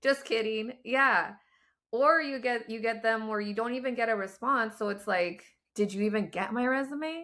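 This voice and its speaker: Animated in tone, a woman with an American accent speaks at a moderate pace in a fairly high, bright, sharp voice with ordinary pitch variation, in a very clean recording with a silent background. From Southern California. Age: 40s. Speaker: laid-off corporate professional. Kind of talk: casual interview conversation.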